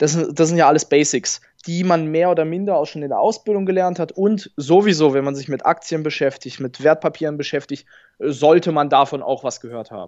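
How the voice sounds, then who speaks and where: Fairly high in pitch and fairly quick, the man has an ordinary speaking voice with ordinary pitch variation. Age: 20s. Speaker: bank advisor. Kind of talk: interview.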